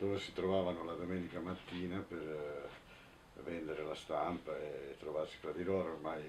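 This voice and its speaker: A man's very deep, low voice, somewhat breathy, at a moderate pace with fairly even intonation over light background noise. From Italy, Turin; Italy. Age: 60s. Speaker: anarchist activist, witness; witness. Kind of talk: testimony interview; interview answer. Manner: halting, with fillers and repetitions. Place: home room.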